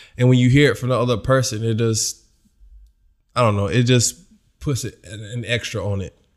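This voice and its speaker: A man at a medium pitch speaks at a fairly quick pace with fairly even intonation, leaving long, frequent pauses. The recording is very clean, with a silent background. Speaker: guest, husband and new dad. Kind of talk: casual chat, joking banter.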